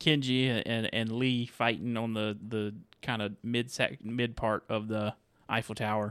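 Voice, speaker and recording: On a very clean recording with a silent background, a man speaks in a normal speaking voice at medium pitch with fairly even intonation. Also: fairly slow pace. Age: 30s. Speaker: movie podcast host. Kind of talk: casual chat.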